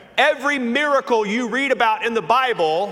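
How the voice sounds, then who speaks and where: With a slight Southern US accent, a man speaks at a high pitch with ordinary pitch variation over noticeable background noise. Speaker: pastor. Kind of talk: sermon. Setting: church.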